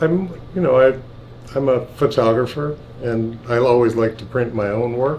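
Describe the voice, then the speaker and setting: Noticeable background noise sits behind a man talking at a moderate pace. His pitch is medium, with ordinary variation. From US West Coast, Berkeley, California. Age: 60s. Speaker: photo printer and photographer. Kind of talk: casual conversation. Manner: halting, many false starts.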